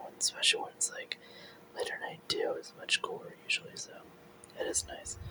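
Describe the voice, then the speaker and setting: Whispering at a moderate pace, the voice comes through over noticeable background noise. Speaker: ASMR artist. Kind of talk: ASMR ramble. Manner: soft-spoken.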